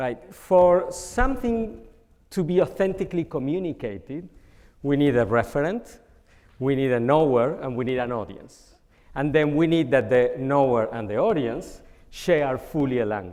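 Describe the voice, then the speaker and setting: In a Spanish accent, a man speaks at a moderate pace and a fairly high pitch, with lively intonation. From Argentina. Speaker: communication scholar. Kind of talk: panel discussion.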